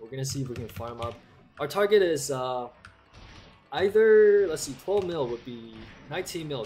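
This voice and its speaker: Fairly high-pitched male voice with lively intonation over music in the background. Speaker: gaming streamer. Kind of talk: live gameplay stream chat. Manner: casual, conversational.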